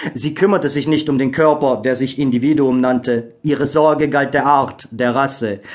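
A man with fairly high pitch and a plain, everyday voice speaks with fairly even intonation and hardly any pauses. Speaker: audiobook narrator. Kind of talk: scripted audiobook narration, solemn and dramatic. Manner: slow, hushed, gravely expressive; measured, melancholic, with pauses for suspense.

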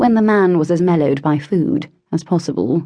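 A woman with a fairly low pitch speaks in a dramatic tone, her voice moving through very wide pitch swings. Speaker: audiobook narrator. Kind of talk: audiobook narration of a historical romance, with character voices. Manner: dramatic, expressive, shifting between characters.

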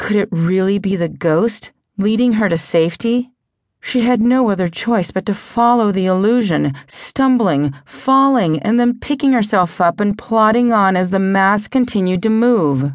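At a moderate pace, the voice carries lively intonation and an animated, dramatic tone, with very even loudness against a quiet background. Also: woman, medium pitch for a woman. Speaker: audiobook narrator. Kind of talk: ghost story narration, audiobook reading aloud. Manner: suspenseful, hushed tension building, dramatic pacing; animated, voicing characters with distinct tones.

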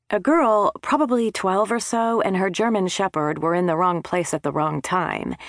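Sounding dry and close with no echo, a woman uses a normal speaking voice at medium pitch and moderate pace, her intonation lively. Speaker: audiobook narrator. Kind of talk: audiobook narration, first-person comic mystery read aloud. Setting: studio.

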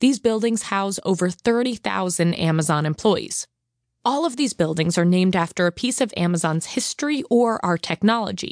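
In an American accent, a woman with a plain, everyday voice speaks at a moderate pace and medium pitch, her intonation lively and her loudness very even. The sound is dry and close with no echo over a quiet background. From US Northeast, Long Island, New York. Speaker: corporate tour guide. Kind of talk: scripted self-guided audio walking tour narration, addressing the listener directly. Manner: friendly, upbeat and welcoming, with light humor; clear, measured instructional pacing.

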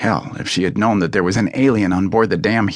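Plain reading aloud unfolds with fairly even intonation.

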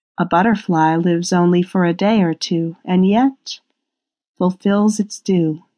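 In a normal speaking voice, the delivery holds a very even loudness and fairly even intonation at a fairly slow pace. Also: woman, medium pitch for a woman. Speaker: audiobook narrator. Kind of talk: guided meditation, scripted audiobook narration. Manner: slow, soothing, hypnotic; calm, gentle, rhythmic pacing with pauses.

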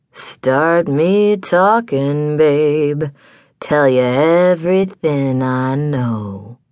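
Gravelly and growling, a put-on character voice moves at a very slow pace in a low-to-middle pitch over a quiet background.

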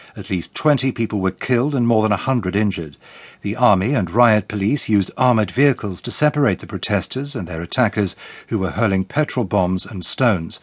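A man's fairly low voice at a fairly quick pace, ordinary pitch variation, a dry, close sound with no echo and a quiet background. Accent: British. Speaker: radio newsreader. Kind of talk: formal bulletin newsreading, crisp headline-by-headline delivery. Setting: studio. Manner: measured and authoritative, even-paced; neutral, detached broadcast tone.

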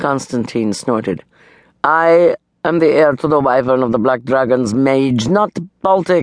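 Against a quiet backdrop, someone does plain reading aloud.

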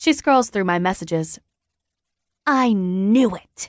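A woman speaks at a fairly slow pace in an animated, dramatic tone with very wide pitch swings, her sound dry and close with no echo over a quiet background. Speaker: audiobook narrator. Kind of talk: audiobook narration, dramatic first-person reading with character voices. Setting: studio. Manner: animated, dramatic, voicing teenage characters in dialogue.

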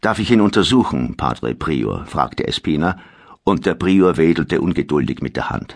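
A man with a very deep, low pitch and vocal fry makes very wide pitch swings. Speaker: audiobook narrator. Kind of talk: dramatic audiobook narration of historical fiction. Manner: gravely dramatic, slow and suspenseful.

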